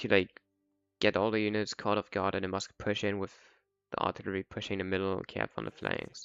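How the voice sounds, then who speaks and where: A man with a non-native accent talks fairly quickly in a fairly low, monotone, flat voice. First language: not English. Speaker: gaming content creator. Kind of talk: tutorial. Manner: casual.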